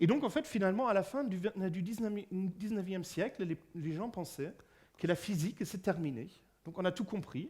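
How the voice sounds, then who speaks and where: Speaking at a fairly slow pace, a man talks with a German accent. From Germany. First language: German (speaking French). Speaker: physicist and lecturer. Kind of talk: public lecture. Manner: halting, many fillers and repetitions.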